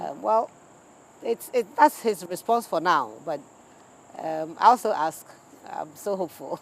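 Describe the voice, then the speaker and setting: Long, frequent pauses break up a woman's fairly slow speech, her fairly low pitch marked by vocal fry and very wide pitch swings. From Ghana (Accra). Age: 50s. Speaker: politician and actress. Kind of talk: interview.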